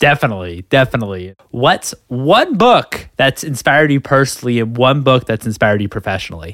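In a very clean recording with a silent background and a dry, close sound without echo, a medium-pitched man sounds enthusiastic, with lively intonation, a fairly quick pace and hardly any pauses. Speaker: podcast host. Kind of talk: interview.

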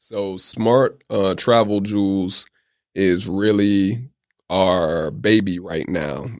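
On a very clean recording with a silent background, a man with an American accent speaks at a very slow pace, his fairly low pitch showing ordinary pitch variation. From Atlanta, US South, Oakland roots. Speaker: entrepreneur. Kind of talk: interview.

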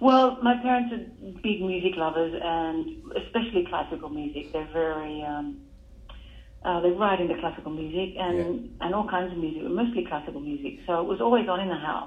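Speaking at a fairly quick pace, a woman uses lively intonation at a fairly low pitch. Room echo is audible. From Australia, Newcastle NSW. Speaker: jazz musician. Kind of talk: interview.

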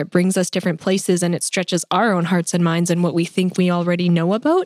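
Very fast, flat, monotone speech from a woman, fairly low in pitch and very even in loudness, on a very clean recording with a silent background. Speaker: podcast co-host.

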